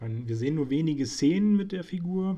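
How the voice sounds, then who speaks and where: In a dark, mellow tone, a man talks at a moderate pace, his pitch varying in an ordinary way. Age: 20s. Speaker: film critic podcaster. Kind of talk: solo film review monologue. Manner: hesitant, frequent fillers.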